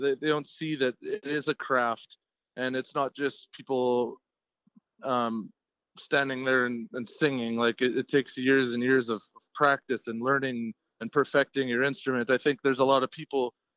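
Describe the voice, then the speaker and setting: In an unremarkable speaking voice, a man talks at a moderate pace and a medium pitch with fairly even intonation. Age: 30s. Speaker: lead singer of a cover band and steel worker. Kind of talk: casual interview.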